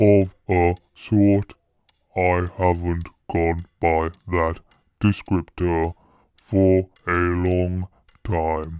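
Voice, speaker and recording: In a put-on character voice, a man speaks very slowly at a very deep, low pitch with monotone, flat intonation and long, frequent pauses against a quiet background. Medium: read story. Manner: solemn, formal.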